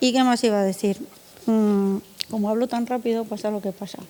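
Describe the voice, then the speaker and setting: Her fairly high-pitched voice holds a fairly even intonation as the woman speaks. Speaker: art foundation director. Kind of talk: conference panel talk. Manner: conversational with fillers.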